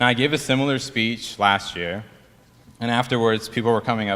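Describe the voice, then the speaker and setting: With a Persian accent, a man speaks at a fairly quick pace in a bright, sharp tone with ordinary pitch variation. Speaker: dental student. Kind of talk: ceremony speech.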